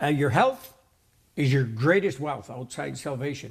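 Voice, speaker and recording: Somewhat breathy, this voice shows ordinary pitch variation. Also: man. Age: 60s. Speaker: natural health show host. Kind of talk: casual interview.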